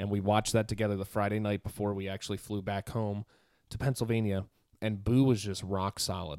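On a very clean recording with a silent background, a man with an American accent and a fairly low pitch talks at a fairly quick pace in a normal speaking voice. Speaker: podcast co-host. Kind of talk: casual chat. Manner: excitable.

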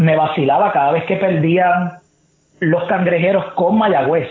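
Speaking fairly slowly, a man uses a high voice. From Puerto Rico, San Juan area. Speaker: sports reporter and analyst. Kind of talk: casual interview chat.

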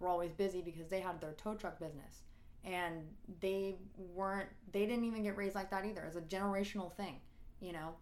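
Using an ordinary speaking voice, a woman talks at medium pitch with fairly even intonation. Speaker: singer. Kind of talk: casual chat.

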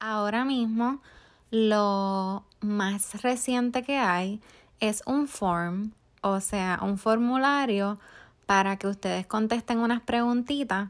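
On a very clean recording with a silent background, a woman with a Puerto Rican accent speaks at a very slow pace in a fairly high pitch, with fairly even intonation and very even loudness. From Puerto Rico. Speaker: podcast host, life coach. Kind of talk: motivational monologue.

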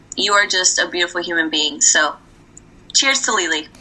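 Very wide pitch swings from a woman, noticeable background noise behind her. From Puerto Rico. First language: Spanish. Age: 20s. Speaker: podcast guest. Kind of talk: casual chat. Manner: animated, laughs often.

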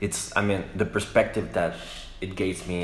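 A man with a Spanish accent speaks in a very deep, low pitch. Room echo is audible. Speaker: radio host. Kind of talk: interview. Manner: halting.

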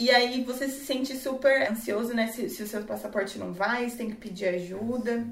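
Over noticeable background noise and audible room echo, a woman talks in a fairly high pitch with fairly even intonation and hardly any pauses. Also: moderate pace. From Brazil. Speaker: English teacher. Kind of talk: casual chat.

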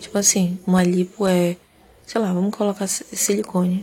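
A woman speaks at a medium pitch and a moderate pace in a calm, relaxed tone. Her intonation is monotone and flat, with noticeable background noise. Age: 30s. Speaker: podcast host. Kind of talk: sleep podcast monologue.

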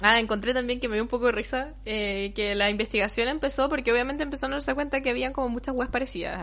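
In a Chilean accent, a woman talks at a very fast pace. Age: 20s. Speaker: podcast co-host. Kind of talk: casual chat.

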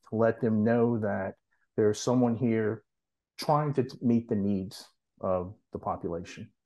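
A man with an American accent, medium pitch and dark, mellow tone, at a fairly slow pace with fairly even intonation against a quiet background. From US South, New Orleans. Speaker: nurse practitioner and nonprofit founder. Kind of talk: casual interview.

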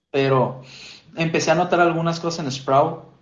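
Audible room echo surrounds a man with a Mexican accent whose fairly high, somewhat breathy voice shows ordinary pitch variation. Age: 20s. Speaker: church lay preacher. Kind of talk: casual chat.

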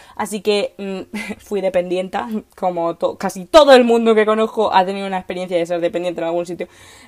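An animated woman's voice, medium in pitch, at a fairly quick pace. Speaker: podcast host, political scientist. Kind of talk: casual monologue. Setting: recording in a wardrobe at home.

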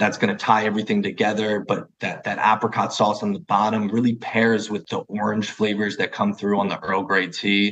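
A man talks fast in a New Jersey accent with hardly any pauses and a fairly quick pace. His fairly low voice stays monotone and flat. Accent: New Jersey American. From New Jersey, US. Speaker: food brand founder and chef. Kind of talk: interview.

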